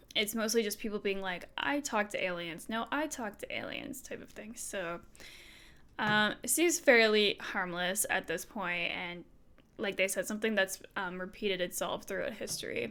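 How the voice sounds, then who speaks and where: Using an ordinary speaking voice, a woman speaks at a moderate pace and medium pitch with lively intonation. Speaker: streamer. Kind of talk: reading aloud with commentary. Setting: live stream. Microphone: new microphone after broken cable.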